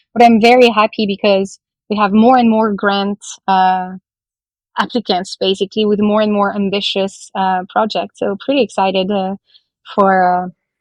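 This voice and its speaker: A woman with a French accent speaks at a medium pitch and moderate pace. Her intonation is fairly even, and the sound is dry and close with no echo. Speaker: blockchain project representative. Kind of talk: podcast interview. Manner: hesitant, many fillers.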